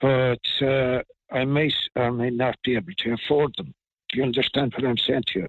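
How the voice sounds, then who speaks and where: In a County Clare accent, a man talks at a moderate pace with a medium pitch and fairly even intonation. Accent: Irish, County Clare. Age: 70s. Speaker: pensioner. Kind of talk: interview answer.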